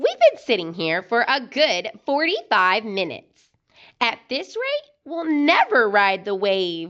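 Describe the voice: Using a put-on character voice, a woman talks slowly at a fairly high pitch, her fairly bright tone swinging very widely up and down.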